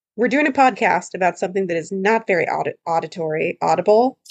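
Her pitch swings very widely. The woman speaks at a moderate pace with a fairly high pitch. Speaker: podcast co-host, lawyer. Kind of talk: casual chat. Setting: studio. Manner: animated, laughs often.

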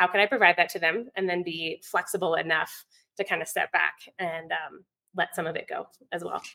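A woman with an American accent talks at a fairly quick pace with fairly even intonation and a bright, sharp tone, the sound dry and close with no echo. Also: fairly low pitch for a woman. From Virginia, US South. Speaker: homeschooling mom and online teacher. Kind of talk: interview chat.

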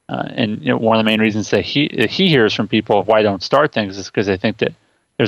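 Against a quiet background, a man with a fairly low pitch and ordinary pitch variation talks at a very fast pace, the sound dry and close with no echo. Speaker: co-host. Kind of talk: casual podcast chat. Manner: laughing, relaxed.

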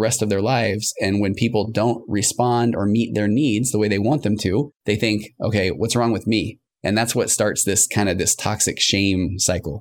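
A man uses a plain, everyday voice, fairly low in pitch with fairly even intonation and very even loudness. He keeps a moderate pace with hardly any pauses on a very clean recording with a silent background. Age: 50s. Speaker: marriage and family therapist. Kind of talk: casual interview.

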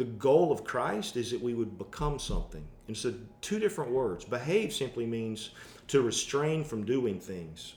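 Somewhat breathy and lively in intonation, a man with an American accent speaks at a medium pitch. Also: moderate pace. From US South. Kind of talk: casual chat.

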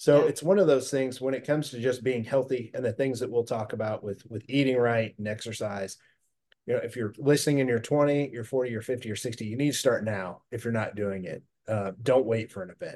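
A man with a dark, mellow tone talks fairly quickly at medium pitch. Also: ordinary pitch variation. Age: 40s. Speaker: fitness entrepreneur and gym owner. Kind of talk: podcast interview.

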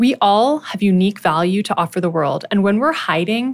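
With a Canadian accent, this unremarkable speaking voice moves at a moderate pace with lively intonation, captured in a very clean recording against a silent background. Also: woman. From Ottawa, Ontario, Canada. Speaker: physician and podcast host. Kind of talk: scripted monologue.

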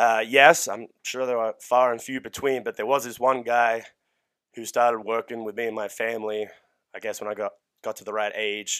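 In an Australian accent, a man talks at a moderate pace in a medium pitch with monotone, flat intonation and big swings in loudness, on a very clean recording with a silent background. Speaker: strength coach. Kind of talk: casual chat. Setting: studio.

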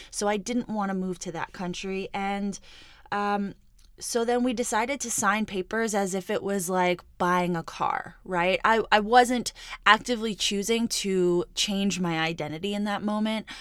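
A woman talks in a plain, everyday voice at a medium pitch and a fairly slow pace, with fairly even intonation. The recording is very clean, with a silent background. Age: 30s. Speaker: podcast host and entrepreneur. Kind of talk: solo monologue podcast. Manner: casual, conversational.

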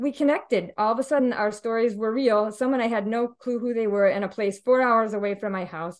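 A woman with an American accent speaks at a fairly quick pace in a fairly high pitch, using an ordinary speaking voice and fairly even intonation. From Indiana. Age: 50s. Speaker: widow sharing her story. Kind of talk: interview testimony.

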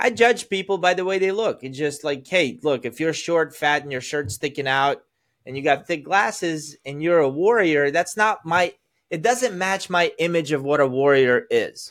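With an American accent and a normal speaking voice, a man talks at a moderate pace and fairly high pitch, using lively intonation in a very clean recording with a silent background. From Azerbaijan, then US from age ten. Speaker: sales coach. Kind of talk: casual chat.

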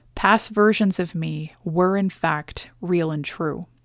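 On a very clean recording with a silent background and a dry, close sound with no echo, a woman in a Canadian accent speaks in an ordinary speaking voice at a fairly low pitch, fairly slowly, with fairly even intonation. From Canada. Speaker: podcast host and business coach. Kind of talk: scripted monologue. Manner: earnest.

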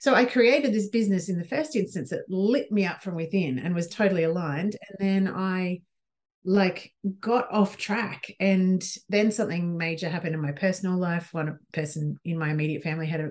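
At a fairly quick pace, a woman uses an ordinary speaking voice with lively intonation at a medium pitch. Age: 40s. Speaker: business coach for midlife women. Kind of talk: casual interview chat.

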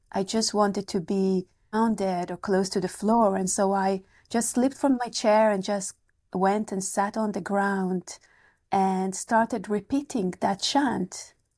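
A woman with an Israeli accent speaks at a fairly slow pace and medium pitch. Her tone is dark and mellow, with fairly even intonation. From Israel, kibbutz. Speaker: meditation teacher and author. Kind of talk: casual interview, personal storytelling.

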